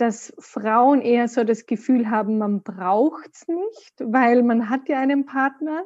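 Against a quiet background, a woman speaks very slowly at a high pitch with ordinary pitch variation and a dark, mellow tone. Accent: slight Austrian. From Austria. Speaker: podcast guest, course participant. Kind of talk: casual interview.

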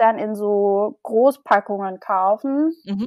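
A very clean recording with a silent background captures a voice with ordinary pitch variation and a dry, close sound with no echo. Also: woman. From Germany, Mannheim. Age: 20s. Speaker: blogger. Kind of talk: interview. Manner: halting, many fillers.

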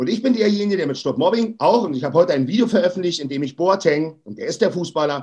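A man talks at a fairly quick pace. His high pitch swings very widely. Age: 40s. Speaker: anti-bullying activist. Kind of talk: interview. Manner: emphatic.

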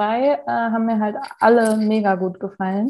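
A woman speaks in an ordinary speaking voice, fairly high-pitched, at a moderate pace with ordinary pitch variation. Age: 20s. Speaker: law trainee. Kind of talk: casual chat. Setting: at home, remote call.

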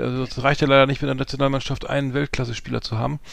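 With monotone, flat intonation, a man holds a medium pitch as he talks. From northern Germany, Hamburg. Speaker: podcast co-host. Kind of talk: casual chat.

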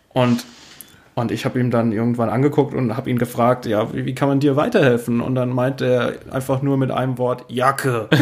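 A man with a medium pitch delivers monotone, flat intonation at a moderate pace while noticeable background noise runs underneath. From Rhineland-Palatinate, rural Palatinate village. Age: 30s. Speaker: DJ and youth welfare office employee. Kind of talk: casual interview chat.

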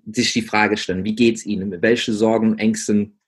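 Monotone and flat in intonation, a man talks at a moderate pace with a fairly low pitch. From England. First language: English (speaking German). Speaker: business coach for gym owners. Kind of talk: interview. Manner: halting, many fillers.

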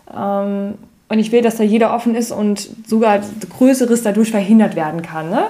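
At a moderate pace, a woman speaks in a medium pitch with a dark, mellow tone. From Mosel, Rhineland-Palatinate. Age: 30s. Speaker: virtual assistant, podcast co-host. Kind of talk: casual interview chat.

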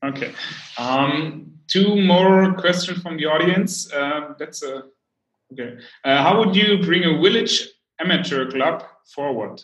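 The speaker has a German accent and a fairly slow pace, with ordinary pitch variation, big swings in loudness and long, frequent pauses. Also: man, high pitch for a man. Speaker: podcast host. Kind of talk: interview. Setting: livestream. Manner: halting.

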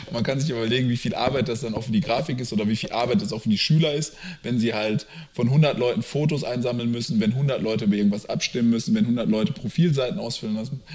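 Noticeable background noise sits behind a man talking at a very fast pace. His pitch is medium, with ordinary variation. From Lower Rhine region, Germany. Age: 30s. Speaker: startup founder. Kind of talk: interview.

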